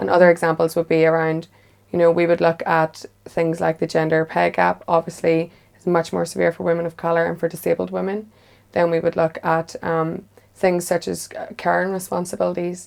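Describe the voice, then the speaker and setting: A woman with a Northern Irish accent at a fairly quick pace. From Northern Ireland, near the border. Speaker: women's policy advocate. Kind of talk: panel discussion.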